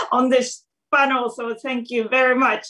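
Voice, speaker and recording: A woman with a Japanese accent speaks in a high pitch with a bright, sharp tone. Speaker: stand-up comedian. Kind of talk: panel talk. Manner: halting.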